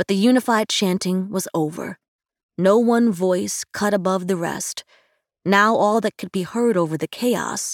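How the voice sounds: A natural reading voice with ordinary pitch variation, over a quiet background.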